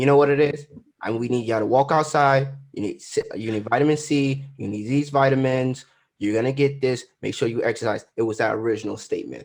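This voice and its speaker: Against a quiet background, a man talks at a fairly quick pace and medium pitch with fairly even intonation. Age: 20s. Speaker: podcast co-host. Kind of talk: casual chat. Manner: halting.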